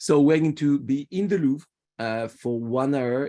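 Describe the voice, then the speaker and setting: A man with a French accent speaks at a fairly slow pace with ordinary pitch variation. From France, Paris. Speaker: tour guide. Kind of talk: virtual guided tour presentation. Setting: video call. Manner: halting, repeats words.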